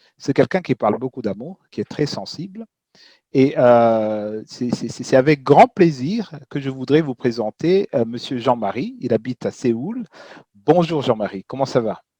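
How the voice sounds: Lively intonation rides on a slightly mellow tone with a slightly husky edge, in a dry, close sound with no echo. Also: man.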